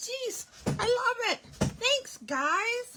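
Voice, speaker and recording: Over noticeable background noise, a woman speaks in a raised, projected voice with very wide pitch swings. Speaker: craft demonstrator. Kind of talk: livestream product presentation. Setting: live stream. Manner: casual, chatty.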